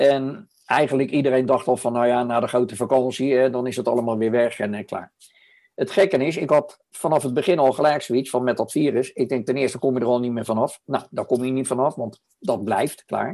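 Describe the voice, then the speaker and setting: Here a man talks at a fairly quick pace with a medium pitch. His tone is dark and mellow, with ordinary pitch variation. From The Hague, Netherlands. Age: 70s. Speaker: podcast co-host. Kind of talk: casual chat.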